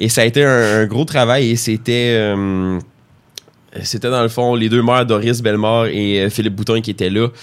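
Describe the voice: At a moderate pace, a man speaks with a clear, smooth tone, fairly low pitch and fairly even intonation.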